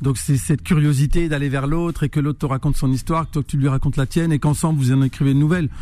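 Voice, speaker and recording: A man talks at a very fast pace in a fairly high voice with fairly even intonation. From northern France, Roubaix. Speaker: musician. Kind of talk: radio interview.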